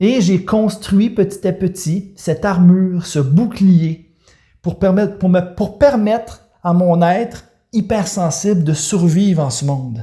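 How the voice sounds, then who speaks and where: A man with a Quebec accent speaks at a very slow pace. His voice has a dark, mellow tone, a high pitch and ordinary pitch variation. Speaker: life coach. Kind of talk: personal testimony. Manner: halting, with many repetitions and hesitations.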